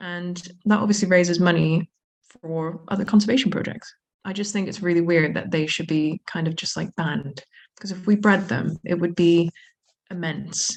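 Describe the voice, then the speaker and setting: With an American accent, a woman speaks at a moderate pace in a fairly low pitch that is somewhat breathy. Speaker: zoo manager. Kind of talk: podcast interview. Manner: animated.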